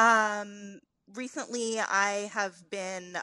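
Her tone comes across bright and sharp. The voice belongs to a woman. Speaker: food reporter. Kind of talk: radio panel chat.

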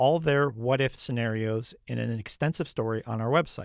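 A man speaks in an unremarkable speaking voice at a fairly quick pace with ordinary pitch variation. The recording is very clean, with a silent background. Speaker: radio reporter. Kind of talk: radio news feature narration and interview. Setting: studio.

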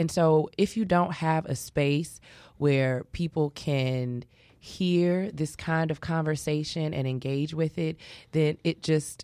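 A woman with an American accent speaks very slowly in a very deep, low voice, her intonation fairly even. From Chicago, Englewood (South Side). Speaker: community project creator. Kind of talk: radio interview.

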